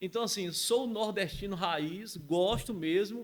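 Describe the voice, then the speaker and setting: A man speaks very slowly with a Bahian accent. His pitch is high and varies in an ordinary way. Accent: Bahian northeastern Brazilian. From Bahia, Brazil (rural, Camacã). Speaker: entrepreneur. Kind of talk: podcast interview. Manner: confident, articulate.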